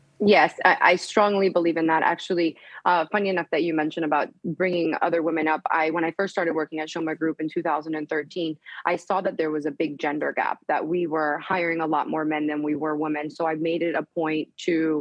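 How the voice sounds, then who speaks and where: A woman with a Spanish accent, a very deep, low pitch, fairly even intonation, and a fairly quick pace. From US, Colombian parents. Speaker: real estate executive. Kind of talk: TV news interview.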